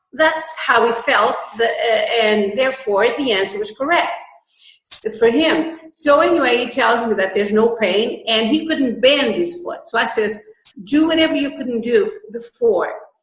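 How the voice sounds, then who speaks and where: Her pitch high and her intonation lively, a woman speaks at a moderate pace with audible room echo. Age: 60s. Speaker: holistic healer and health food store owner. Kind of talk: interview. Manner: halting.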